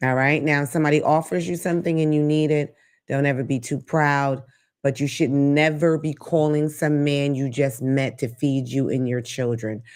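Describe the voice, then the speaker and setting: The speaker sounds animated and keeps a moderate pace. The background is quiet. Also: woman, very deep, low pitch for a woman. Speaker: talk show host. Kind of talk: live-stream talk show.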